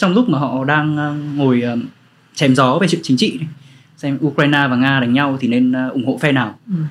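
A man's unremarkable speaking voice, ordinary pitch variation, fairly quick pace. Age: 20s. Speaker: author and storyteller. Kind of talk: casual interview chat.

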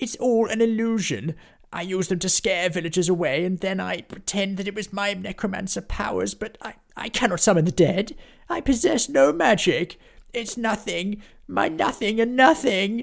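Using a put-on character voice, a man projects a raised, high-pitched voice at a moderate pace. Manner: pleading, whimpering.

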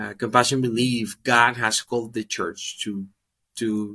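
In a Spanish accent, a man speaks at a medium pitch with a bright, sharp tone and fairly even intonation, recorded very cleanly over a silent background. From Dominican Republic. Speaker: ministry worker. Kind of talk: testimony.

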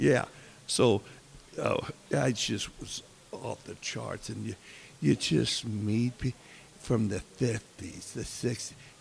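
Using a fairly low voice with vocal fry and an American accent, a man speaks at a very slow pace with long, frequent pauses and big swings in loudness. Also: ordinary pitch variation. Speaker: podcast host. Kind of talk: casual interview chat. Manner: halting.

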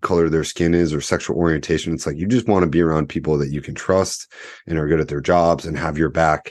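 Over a quiet background, a man speaks fairly quickly in a very deep, low pitch. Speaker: podcast host. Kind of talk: casual interview chat. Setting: video call.

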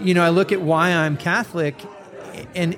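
A fairly high-pitched man with an American accent at a moderate pace. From US West Coast, North County San Diego. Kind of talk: faith podcast conversation. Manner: conversational with frequent fillers and repetitions.

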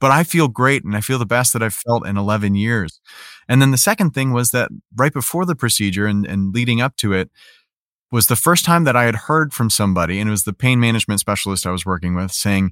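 With an American accent and an unremarkable speaking voice, a man at medium pitch talks at a fairly quick pace with lively intonation, in a very clean recording with a silent background and a dry, close sound with no echo. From US Midwest, Chicago. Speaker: voice actor, patient. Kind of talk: interview testimony.

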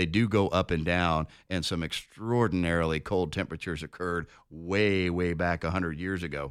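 A man with an American accent and a very deep, low pitch, fairly even intonation, very clean recording with a silent background. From Denver, Colorado. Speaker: radio co-host and lawyer. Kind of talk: casual chat.

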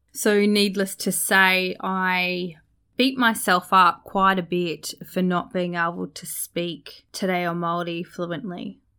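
A woman's medium-pitched voice with an Australian accent, very slow, bright and sharp in tone, with fairly even intonation, on a very clean recording with a silent background. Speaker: podcast host and cross-cultural communication specialist. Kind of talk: podcast monologue. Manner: reflective, sincere.

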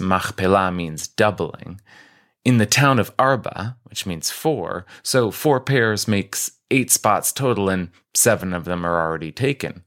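Over a very clean recording with a silent background, a man speaks at a moderate pace. His voice is fairly low, with ordinary pitch variation. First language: American Sign Language. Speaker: rabbi giving weekly Torah talk. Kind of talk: scripted talk on scripture.

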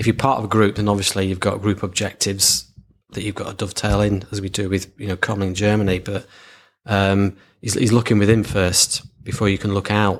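Speaking fairly quickly with a Lancashire accent, a man with a fairly low pitch keeps a monotone, flat intonation in a very clean recording with a silent background. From Lancashire, northern England. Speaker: marketing agency founder. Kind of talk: casual interview.

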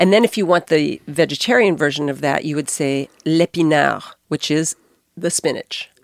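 This woman has a very deep, low pitch and vocal fry, with an American accent. She talks at a moderate pace. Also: ordinary pitch variation, dry, close sound with no echo. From Arkansas, US. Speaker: restaurant co-founder. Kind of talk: casual interview. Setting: studio.

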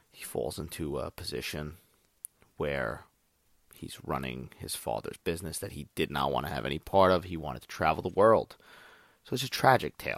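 A man with a very deep, low pitch and vocal fry speaks at a moderate pace in an animated tone, his intonation lively and his loudness swinging widely. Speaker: podcast host, movie reviewer. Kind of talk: casual solo monologue. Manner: animated, profane.

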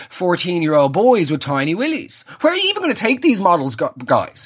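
A man speaks in an Irish accent with a high pitch. His pitch swings very widely. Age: 30s. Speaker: comedy podcaster. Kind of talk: solo comedic monologue. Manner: animated.

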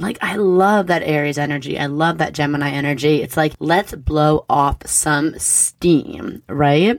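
In an animated tone, a woman with a very deep, low pitch talks at a fairly slow pace with ordinary pitch variation. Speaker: astrology podcast host. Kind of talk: weekly astrology forecast monologue. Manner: casual.

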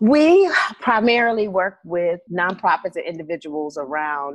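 A woman talks with an American accent. The background is quiet. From US South, Birmingham, Alabama. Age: 40s. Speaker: consulting firm founder. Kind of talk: casual interview.

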